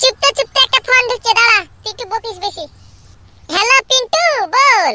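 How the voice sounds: In a cartoonish character voice, a man talks at a fairly quick pace with an extremely high pitch and a bright, sharp tone, the sound dry and close with no echo. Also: ordinary pitch variation.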